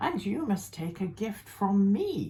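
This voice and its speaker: A woman performs a put-on character voice. Her pitch is medium and swings very widely. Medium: read story.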